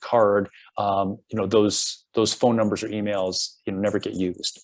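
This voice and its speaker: A man's plain, everyday voice, fairly low in pitch, at a moderate pace, on a very clean recording with a silent background. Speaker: program director presenting a coaching program. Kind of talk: presentation.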